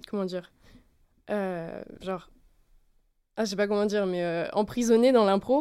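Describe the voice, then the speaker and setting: A woman with a dark, mellow tone speaks at a fairly slow pace. Long, frequent pauses break up her speech, and her pitch varies in an ordinary way. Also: medium pitch for a woman. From France, Lyon. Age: 20s. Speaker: actress. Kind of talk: casual chat. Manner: halting.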